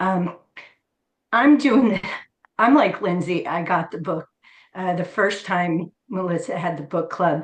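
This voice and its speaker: Speaking slowly-ish with long, frequent pauses, a woman with an American accent uses a fairly low, somewhat breathy voice and ordinary pitch variation. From New Jersey. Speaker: book club member. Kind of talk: casual chat.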